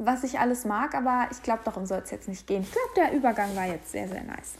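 A woman's lively intonation at a very fast pace, with noticeable background noise. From Hamburg, northern Germany. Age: 20s. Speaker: podcast host. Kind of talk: casual solo monologue. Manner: casual, with fillers and laughter.

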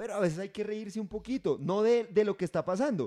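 Recorded very cleanly against a silent background, a man's dark, mellow voice comes across dry and close with no echo. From Catatumbo region, Colombia (Convención, near Cesar). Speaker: podcast host. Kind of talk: casual chat.

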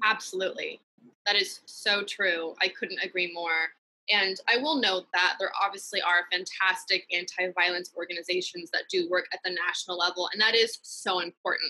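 A woman with an American accent talks at a moderate pace and a medium pitch. Her tone is bright and sharp, with fairly even intonation and very even loudness. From US West Coast (San Francisco Bay Area, East Bay). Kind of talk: interview testimony.

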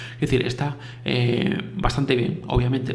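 Amid audible room echo and noticeable background noise, a man at medium pitch speaks with fairly even intonation. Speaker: podcast host. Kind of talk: casual solo podcast talk. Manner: fast; halting, many repetitions.

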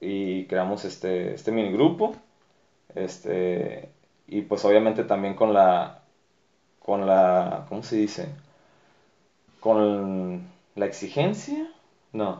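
A man at a very slow pace, with long, frequent pauses and ordinary pitch variation. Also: fairly low pitch for a man. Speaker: dancer and dance group director. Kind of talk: casual interview.

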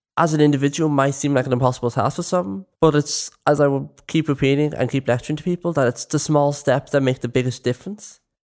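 A man with a Dublin accent speaks very fast with hardly any pauses, his pitch fairly high, his intonation fairly even and his loudness very even, on a very clean, dry, close recording with no echo and a silent background. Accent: Dublin Irish. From West Dublin, Ireland. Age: young. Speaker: youth volunteer. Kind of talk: casual chat.

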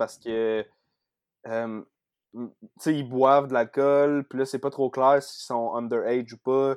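A man with a Quebec accent speaks very slowly in a medium pitch with fairly even intonation and long, frequent pauses, in a very clean recording with a silent background and a dry, close sound with no echo. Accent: Québécois French. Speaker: podcast guest, horror film fan. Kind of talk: casual chat.

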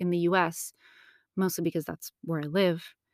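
A woman with an American accent and an unremarkable speaking voice talks at a moderate pace, her medium pitch showing ordinary pitch variation. The recording is very clean with a silent background and has a dry, close sound with no echo. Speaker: podcast host. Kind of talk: solo podcast monologue.

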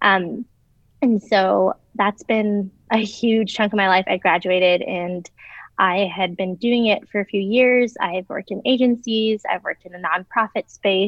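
In an American accent, a woman with a normal speaking voice talks at a fairly slow pace, at medium pitch and with fairly even intonation. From US Midwest, Chicago. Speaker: former recruiter in career change. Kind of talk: casual chat.

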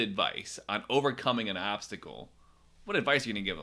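On a very clean recording with a silent background, a man speaks at a fairly quick pace in a bright, sharp tone, with very wide pitch swings and vocal fry. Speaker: podcast co-host. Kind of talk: casual chat, podcast interview.

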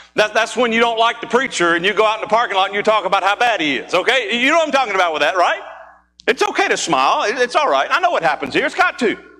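A man's raised, projected voice, high-pitched with very wide pitch swings at a very fast pace, over music in the background. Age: 40s. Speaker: pastor. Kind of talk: sermon. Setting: church. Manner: animated.

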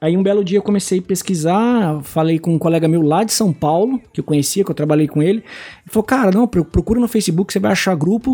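In a very clean recording with a silent background, a man with a high pitch and a dark, mellow tone speaks very fast with ordinary pitch variation. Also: very even loudness. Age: 30s. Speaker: card game content creator. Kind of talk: casual chat.

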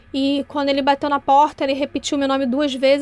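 At a fairly quick pace, a woman speaks in a high pitch with monotone, flat intonation. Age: 30s. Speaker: listener sharing a testimony. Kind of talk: testimony.

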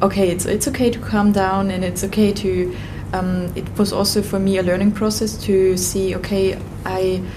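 A woman keeps a moderate speed as noticeable background noise goes on around her. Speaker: yoga teacher and breathwork facilitator. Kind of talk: casual interview.

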